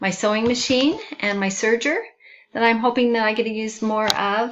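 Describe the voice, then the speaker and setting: A woman's fairly high voice moves at a moderate pace. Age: 60s. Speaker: student. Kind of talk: self-introduction video.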